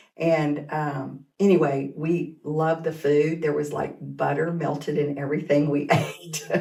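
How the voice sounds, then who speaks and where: A woman's very deep, low voice in an American accent, fairly slow with hardly any pauses, monotone and flat, with audible room echo. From Kansas and Oklahoma. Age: 60s. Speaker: teacher and school administrator. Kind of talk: casual interview.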